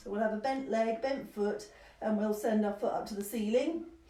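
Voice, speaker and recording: There is noticeable background noise and audible room echo as a woman speaks at a fairly high pitch with ordinary pitch variation. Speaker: somatic movement teacher. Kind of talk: guided movement class. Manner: fast, rambling.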